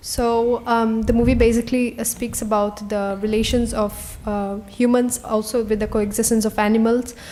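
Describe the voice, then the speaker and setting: Against noticeable background noise, a woman talks at a fairly high pitch and a moderate pace in a monotone, flat way, with hardly any pauses. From India, Goa. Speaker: interpreter. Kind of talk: consecutive interpreting. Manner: halting, many fillers.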